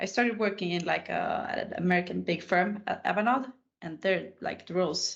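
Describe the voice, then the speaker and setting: In a Swedish accent, a woman talks at a moderate pace with ordinary pitch variation. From Sweden, Stockholm. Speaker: IT consultant. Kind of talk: casual interview chat.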